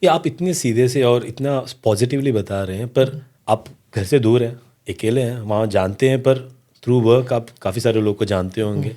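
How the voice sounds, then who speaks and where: The man's tone is dark and mellow. Ordinary variation shows in his pitch. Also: medium pitch for a man. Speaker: podcast host. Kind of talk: podcast interview questions.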